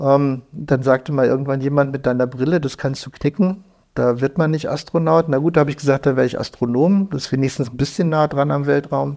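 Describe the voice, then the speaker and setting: Fairly high-pitched yet dark and mellow in tone, a man talks at a fairly quick pace with hardly any pauses. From northern Germany, Lüneburg Heath. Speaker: computer hacker. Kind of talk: interview. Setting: in person, indoor room. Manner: animated.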